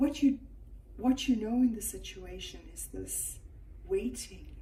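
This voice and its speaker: The recording has audible room echo and noticeable background noise. A woman is speaking. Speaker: tarot reader. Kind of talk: tarot reading to camera. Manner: slow.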